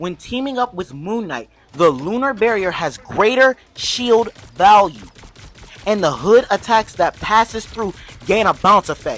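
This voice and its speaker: The speech comes at a fairly slow pace with an animated tone and lively intonation, set against noticeable background noise. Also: woman, medium pitch for a woman. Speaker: gaming youtuber. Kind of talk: game tutorial commentary. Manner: loud.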